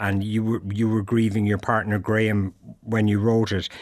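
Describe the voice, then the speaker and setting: On a very clean recording with a silent background, a man with an Irish accent speaks at a moderate pace and a medium pitch. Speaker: radio host. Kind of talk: interview. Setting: radio studio.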